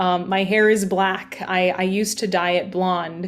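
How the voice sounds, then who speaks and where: Background noise is noticeable behind this woman's voice. Her pitch sits in the medium range, and her intonation stays monotone and flat. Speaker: journalist and yoga teacher. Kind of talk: interview. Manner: loud.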